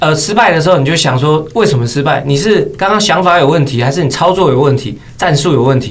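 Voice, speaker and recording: A man speaks very fast at very even loudness, with hardly any pauses. Noticeable background noise runs underneath. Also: fairly high pitch for a man, ordinary pitch variation. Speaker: esports commentator and game streamer. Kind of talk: casual chat.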